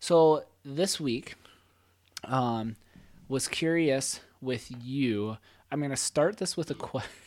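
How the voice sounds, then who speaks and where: Against a silent background on a very clean recording, a man talks very slowly at a fairly high pitch, with ordinary pitch variation and long, frequent pauses. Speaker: podcast co-host and teacher. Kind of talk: casual chat.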